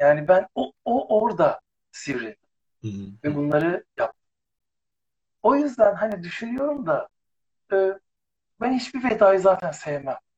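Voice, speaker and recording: Very wide pitch swings from a man with a high pitch, at a moderate pace. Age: 50s. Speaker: former TV presenter. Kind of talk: casual chat.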